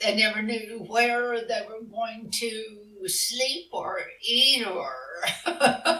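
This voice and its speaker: A woman's fairly high voice at a very slow pace, with big swings in loudness, audible room echo and noticeable background noise. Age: 70s. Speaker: author of western romance novels. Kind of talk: interview. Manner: hesitant, many fillers.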